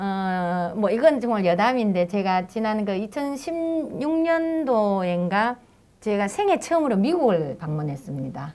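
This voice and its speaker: A woman speaks at a very slow pace with a medium pitch. Her dark, mellow tone swings very widely in pitch. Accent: strong Daegu. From South Korea, Daegu. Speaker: local politician, former city council chair. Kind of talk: panel talk show discussion. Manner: halting, with many fillers.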